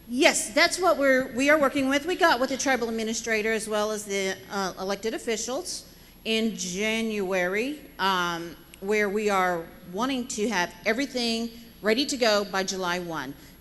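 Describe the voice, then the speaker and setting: An unremarkable speaking voice, a woman's, comes at a moderate pace with a fairly high pitch, lively intonation, and an American accent. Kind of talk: budget presentation and Q&A.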